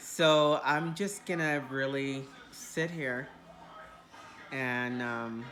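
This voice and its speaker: With music in the background and audible room echo, a woman speaks at a very slow pace with long, frequent pauses, her very deep, low pitch showing ordinary variation. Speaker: video diarist. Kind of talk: casual video diary. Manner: casual, rambling with fillers.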